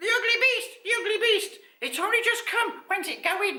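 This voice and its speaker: Doing a put-on character voice, a man sounds squeaky at an extremely high pitch. He keeps a moderate pace. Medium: read story. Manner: fussy, shrill.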